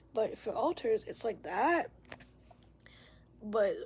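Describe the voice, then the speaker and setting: A woman's voice with ordinary pitch variation. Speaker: vlogger sharing mental health experience. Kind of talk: casual vlog monologue. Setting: at home, bedroom door open. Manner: loud; rambling, halting.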